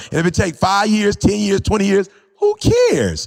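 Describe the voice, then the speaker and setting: Over noticeable background noise, a man with a high voice speaks at a fairly quick pace. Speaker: motivational speaker. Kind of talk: podcast conversation. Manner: casual, conversational.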